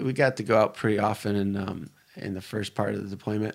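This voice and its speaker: In a normal speaking voice, a man with an American accent talks at a fairly quick pace, pitched fairly low with fairly even intonation. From US Midwest, Detroit area. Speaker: military veteran. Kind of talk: casual interview chat.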